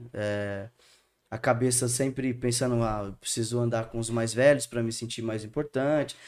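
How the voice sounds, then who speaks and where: A man's medium-pitched voice, monotone and flat, at a moderate pace in a very clean recording with a silent background. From Santo André, São Paulo state, Brazil. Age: 30s. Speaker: theology student. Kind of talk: casual interview chat.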